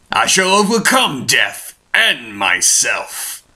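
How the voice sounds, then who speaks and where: This put-on character voice is raspy. The pace is very slow. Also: man. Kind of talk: villain voice acting. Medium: fan dub. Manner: grave, imperious, slow.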